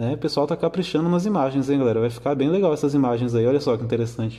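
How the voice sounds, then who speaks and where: Over a quiet background, a man with a dark, mellow tone talks at a very fast pace, his medium pitch showing ordinary variation. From São Paulo interior, Ibiúna. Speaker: drone videographer. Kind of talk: live narration of drone flight. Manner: casual, conversational.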